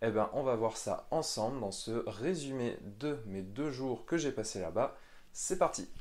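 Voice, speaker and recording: At a very slow pace, a man with a medium pitch speaks using lively intonation. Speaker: miniature painting youtuber. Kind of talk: vlog. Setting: outdoors, walking.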